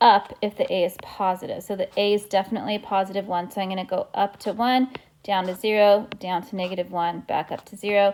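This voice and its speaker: With a plain, everyday voice, a woman speaks at a fairly quick pace and a medium pitch. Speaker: math teacher. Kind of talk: tutorial.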